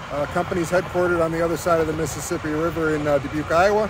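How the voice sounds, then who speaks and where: A man talks at a very fast pace. The sound is dry with no echo, but noticeable background noise is present. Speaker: truck driver vlogger. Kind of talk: casual vlog chat. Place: street. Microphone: phone near.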